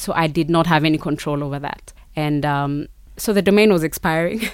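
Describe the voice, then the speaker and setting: A woman with a Kenyan accent, a very deep, low pitch, fairly even intonation and a moderate pace. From Kenya, Kericho (Rift Valley). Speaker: marketing consultant and entrepreneur. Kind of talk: interview.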